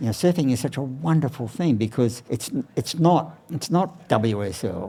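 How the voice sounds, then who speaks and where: An Australian-accented man speaks at a moderate pace with lively intonation and a dark, mellow tone. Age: 80s+. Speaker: surfboard shaper. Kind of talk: interview. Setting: outdoors beside his surfboard factory.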